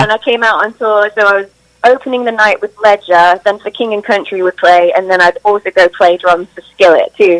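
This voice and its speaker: With a British accent, the speaker talks at a fairly quick pace with fairly even intonation. The sound is dry and close, with no echo. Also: woman, medium pitch for a woman. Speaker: drummer and singer. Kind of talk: interview answer.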